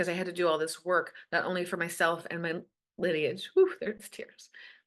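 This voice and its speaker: Her tone is animated, a woman at medium pitch. She keeps a moderate pace over a quiet background. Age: 50s. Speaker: coach for teen girls. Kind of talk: casual interview chat.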